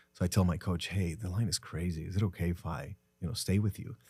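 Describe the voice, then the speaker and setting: With a Spanish accent, a man speaks fairly quickly in a very deep, low, somewhat breathy voice with a dark, mellow tone and ordinary pitch variation, in a very clean recording with a silent background. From Mexico, Tijuana. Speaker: entrepreneur. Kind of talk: podcast interview.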